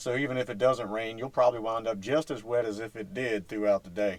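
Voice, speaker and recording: A man with a Virginia accent, relaxed in tone, at a moderate pace. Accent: Southern US (Virginia). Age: 50s. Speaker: fishing video host. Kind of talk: casual talk to camera. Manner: relaxed, folksy.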